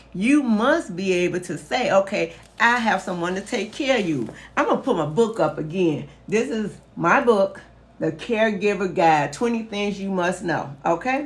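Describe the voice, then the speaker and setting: Somewhat breathy, a woman speaks in an animated tone with lively intonation. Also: medium pitch for a woman, moderate pace. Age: 60s. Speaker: caregiving educator and author. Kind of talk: live stream talk.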